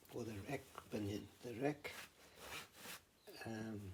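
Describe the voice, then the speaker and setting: A man's somewhat breathy voice with a dark, mellow tone and a non-native accent, at a very slow pace. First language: not English. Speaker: hobby machinist. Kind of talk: workshop tutorial. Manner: halting, many fillers.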